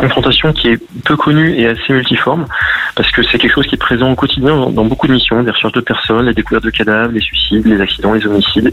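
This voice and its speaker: Noticeable background noise surrounds a man's voice. He speaks at a medium pitch and a very fast pace. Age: 40s. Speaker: gendarmerie officer and author. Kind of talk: radio interview. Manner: halting, with many fillers and repetitions.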